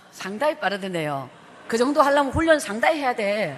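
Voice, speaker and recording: A woman talks at a fairly quick pace in an animated tone, with vocal fry. Her fairly high voice makes very wide pitch swings. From South Korea, Guryongpo (Pohang, Gyeongsang). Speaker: evangelist, revival speaker. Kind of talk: sermon with personal testimony. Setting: church with congregation. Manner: fast.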